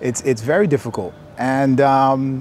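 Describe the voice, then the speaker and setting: A man with an American accent speaks at a medium pitch. The sound is dry with no echo, over light background noise. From US, Maryland. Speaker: real estate entrepreneur. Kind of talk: casual interview. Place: open country. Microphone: lapel.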